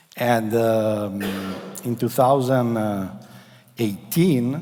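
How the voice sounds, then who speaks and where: With audible room echo around him, a man talks at a very slow pace in a medium pitch. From Italy. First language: Italian. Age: 40s. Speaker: company executive. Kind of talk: conference presentation. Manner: halting.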